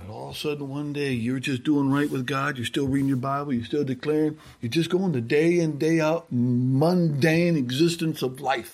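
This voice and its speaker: A man speaks in a plain, everyday voice. His pitch is fairly high and his pace moderate. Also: fairly even intonation. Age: 60s. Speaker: guest preacher. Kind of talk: sermon. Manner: conversational, informal.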